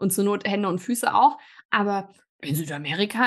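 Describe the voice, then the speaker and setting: Medium-pitched speech from a woman, set against a quiet background. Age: 30s. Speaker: podcast host and coach. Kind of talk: interview conversation.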